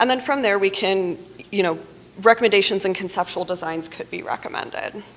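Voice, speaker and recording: A woman with a medium pitch and ordinary pitch variation talks while noticeable background noise is heard. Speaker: water resources engineer. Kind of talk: conference presentation. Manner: fast.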